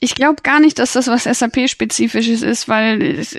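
Against a quiet background, a woman speaks at a moderate pace in a high pitch. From Bavaria, Germany. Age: 20s. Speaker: IT consultant. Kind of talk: interview.

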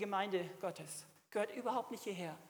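A woman speaks at a moderate pace. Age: 60s. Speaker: preacher. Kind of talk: sermon.

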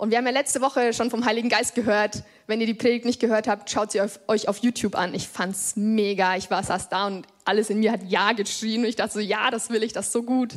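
A woman's ordinary speaking voice, fairly high in pitch, at a fairly quick pace with hardly any pauses and fairly even intonation. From Germany, Upper Franconia (Lichtenfels area). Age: 20s. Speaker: lay preacher. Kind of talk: sermon. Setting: church. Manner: casual youthful.

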